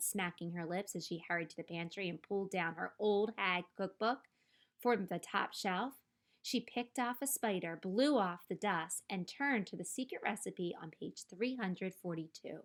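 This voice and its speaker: A woman's shrill, cackling put-on character voice at medium pitch and a moderate pace, on a very clean recording with a silent background. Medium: read story. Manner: cackling, shrill.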